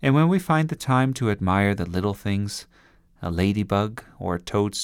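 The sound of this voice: The intonation is lively, carried by an unforced reading voice.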